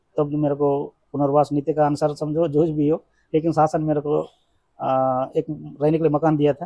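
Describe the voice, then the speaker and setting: A man talks at a moderate pace in a dark, mellow tone, flat and monotone with long, frequent pauses, in a dry, close sound with no echo. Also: fairly high pitch for a man. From Chhattisgarh near Andhra border (Bastar). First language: Telugu (speaking Hindi). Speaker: former Maoist rebel. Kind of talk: interview.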